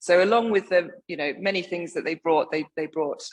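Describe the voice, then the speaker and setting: In a quiet background, a woman with an English accent speaks with ordinary pitch variation. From England. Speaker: wine writer. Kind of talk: lecture.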